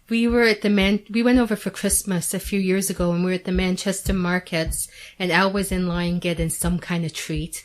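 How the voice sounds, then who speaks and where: With a Canadian accent, a woman with a normal speaking voice talks at a fairly quick pace and medium pitch, with fairly even intonation and hardly any pauses. The recording is very clean, the background silent. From Canada. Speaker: Coronation Street superfan. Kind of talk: radio interview. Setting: radio studio.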